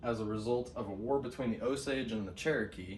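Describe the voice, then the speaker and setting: A man speaks at medium pitch and a moderate pace. His pitch moves in an ordinary way, with audible room echo around him. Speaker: student. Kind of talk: class presentation. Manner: halting, many fillers.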